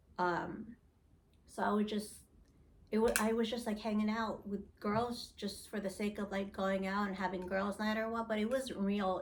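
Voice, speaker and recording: With an American accent, a woman speaks at medium pitch and a moderate pace, her intonation fairly even amid audible room echo. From Philippines-born, grew up in US. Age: 40s. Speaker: reality TV casting interviewee. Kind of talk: interview. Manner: loud.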